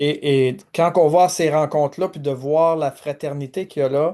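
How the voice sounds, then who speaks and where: A man with a Quebec accent and a dark, mellow tone, fairly slow and fairly even in intonation, over a quiet background. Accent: Québécois French. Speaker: pastor and video host. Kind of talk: interview conversation. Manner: halting, many fillers.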